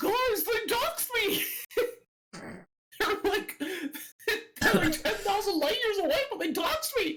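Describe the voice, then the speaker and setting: A put-on character voice at an extremely high pitch, panicked in tone, fairly slow with long, frequent pauses. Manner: goofy, cartoonish, panicked.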